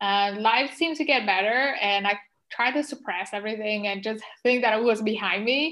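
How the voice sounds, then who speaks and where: A woman with a non-native accent speaks in a fairly high pitch, her tone bright and sharp. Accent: non-native, trouble pronouncing some words. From Vietnam. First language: Vietnamese. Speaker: pharmacist and spiritual life coach. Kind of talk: interview testimony. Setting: remote call.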